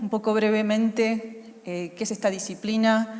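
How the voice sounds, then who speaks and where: A woman with an Argentine accent and a medium pitch. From Argentina. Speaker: UX consultant, conference speaker. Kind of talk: conference talk. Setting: stage with audience.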